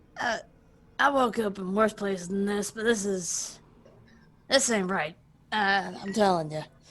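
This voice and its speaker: In a put-on character voice, a woman talks raspily at medium pitch with ordinary pitch variation, a moderate pace and long, frequent pauses. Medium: actual play.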